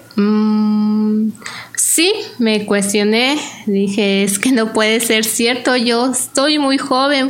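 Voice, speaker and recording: A woman's high voice at a very slow pace, with very even loudness and audible room echo. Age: 30s. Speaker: cancer survivor. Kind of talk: testimony. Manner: halting.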